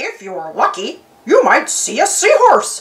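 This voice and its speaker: Someone uses a put-on character voice, pitched extremely high and delivered at a fairly slow pace. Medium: read story.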